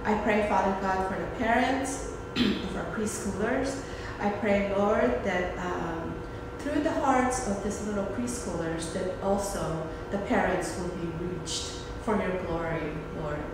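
Strong room echo and noticeable background noise surround a woman's voice. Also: fairly slow pace. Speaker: preschool director leading prayer. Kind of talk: fervent intercessory prayer, earnest and devotional, addressing God directly. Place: classroom. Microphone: phone near.

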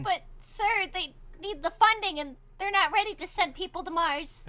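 A woman puts on a character voice that is squeaky and extremely high in pitch. Her loudness swings in big jumps. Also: moderate pace. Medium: machinima. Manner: formal, exasperated, sarcastic.

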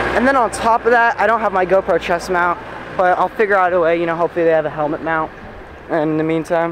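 A man talks at a very fast pace with ordinary pitch variation, the sound dry with no echo but marked by noticeable background noise. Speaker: vlogger. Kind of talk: casual vlog chat. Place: street. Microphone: phone near.

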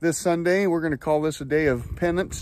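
Speaking at a fairly quick pace, a man is heard in a dry sound with no echo. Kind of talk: casual vlog chat. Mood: relaxed, joking. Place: open country. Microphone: phone near.

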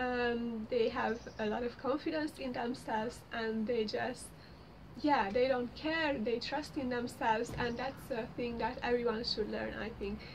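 Amid light background noise, a woman speaks at a high pitch and fairly slow pace with fairly even intonation. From Hungary. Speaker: lifestyle blogger. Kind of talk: casual talk to camera. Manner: hesitant, many fillers. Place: home room. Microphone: phone near.

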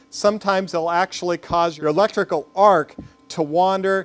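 With faint music in the background, a man speaks in a high pitch for a man. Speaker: metalworking instructor. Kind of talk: tutorial. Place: workshop.

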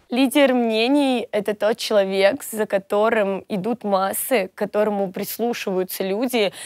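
In a dry sound with no echo and a quiet background, a woman with fairly high pitch speaks at a fairly slow pace, with hardly any pauses and fairly even intonation. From Russia, Volgograd; Russia. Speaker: blogger and singer; blogger. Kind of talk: interview monologue. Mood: relaxed, cheerful. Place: studio. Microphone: lapel.

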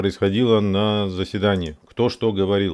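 Speaking at a moderate pace in a fairly low voice with fairly even intonation, a man is heard over a quiet background. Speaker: video blogger, civic activist; video blogger. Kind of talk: tutorial. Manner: halting, many false starts and fillers. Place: home room. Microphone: studio mic.

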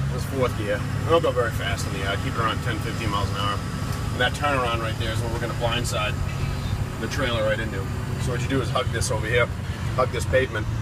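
Very fast speech over loud background noise. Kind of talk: casual narration while driving. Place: car. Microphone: phone near.

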